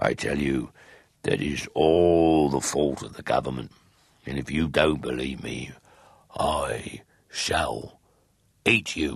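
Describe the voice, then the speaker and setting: A man puts on a gruff, growling character voice with a very deep, low pitch. He goes at a fairly slow pace, with long, frequent pauses. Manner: growling, gruff, blunt.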